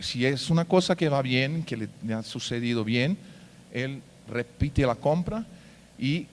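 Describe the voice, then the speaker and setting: On a very clean recording with a silent background, a man with a Portuguese accent talks at a medium pitch with lively intonation. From Brazil. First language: Portuguese (speaking Spanish). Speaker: payments company executive. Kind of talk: conference talk. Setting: stage with audience. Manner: hesitant, many fillers.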